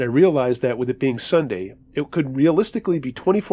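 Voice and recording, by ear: Natural-sounding voice reading aloud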